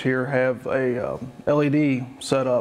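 A man speaks with a monotone, flat intonation. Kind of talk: tutorial. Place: factory. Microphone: lapel.

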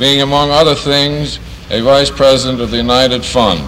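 Against light background noise, a man with a fairly high pitch speaks at a moderate pace and fairly even intonation. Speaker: master of ceremonies, plant manager. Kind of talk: ceremony emcee speech, 1950s newsreel style. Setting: outdoor ceremony with PA system. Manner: formal, brisk, clear. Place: factory. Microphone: old recording.

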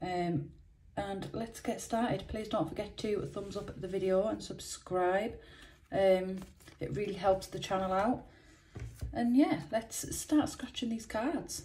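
A woman talks at a fairly slow pace with ordinary pitch variation. Light background noise sits behind her. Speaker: scratch card video host. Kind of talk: casual vlog chat. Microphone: phone near.

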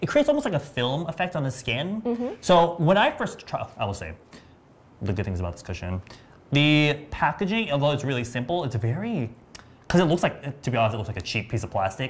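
A man talks at a very fast pace with very wide pitch swings. Vocal fry runs through his voice. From US West Coast, San Diego. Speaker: beauty livestream host. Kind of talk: live product demo chat. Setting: livestream studio. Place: studio. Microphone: lapel.

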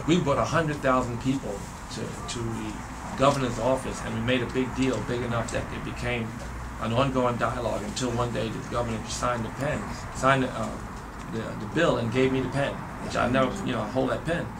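A fairly quick pace over noticeable background noise. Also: man. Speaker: interviewee. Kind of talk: interview answer. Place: classroom.

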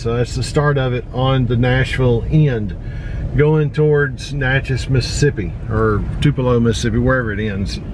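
A man speaks with an American accent. The sound is dry with no echo, and there is noticeable background noise. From Tennessee. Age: 50s. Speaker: outdoor vlogger. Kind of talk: casual vlog narration. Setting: in a car on road trip. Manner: casual, filler-heavy. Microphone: phone near.

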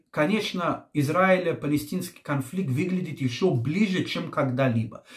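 The voice has a calm tone and lively intonation. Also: man. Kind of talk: commentary on current events.

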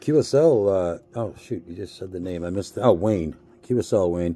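Using an American accent, a man talks at a moderate pace in a very deep, low pitch with a dark, mellow tone. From US Northeast, Boston. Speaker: ham radio operator. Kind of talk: ham radio contact. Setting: radio transmission from handheld at home desk. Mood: relaxed, friendly. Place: home room.

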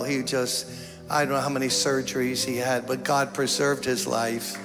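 The voice stays monotone and flat over clear music in the background. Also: man. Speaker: pastor addressing a congregation. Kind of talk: sermon. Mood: solemn, concerned. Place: church. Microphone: handheld.

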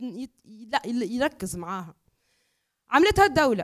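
Against a quiet background, a woman speaks with a Tunisian accent. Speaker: academic and environmental activist; speaker. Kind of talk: panel discussion. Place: hall. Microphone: handheld.

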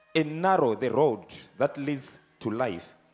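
Faint music plays in the background. A man speaks at a very slow pace. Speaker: evangelist preacher. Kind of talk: sermon. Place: church. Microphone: handheld.

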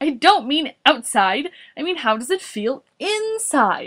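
A woman's put-on character voice, high and fairly bright, at a fairly slow pace with big pitch swings

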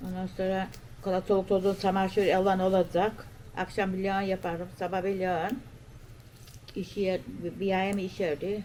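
A woman at a moderate pace, medium in pitch, with monotone, flat intonation. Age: 70s. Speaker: village grandmother. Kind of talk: casual interview.

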